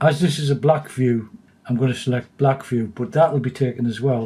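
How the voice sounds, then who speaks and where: A man's medium-pitched voice has a dark, mellow tone, sounds somewhat breathy and shows ordinary pitch variation. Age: 60s. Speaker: digital skills tutor. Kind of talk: tutorial. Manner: calm, explanatory.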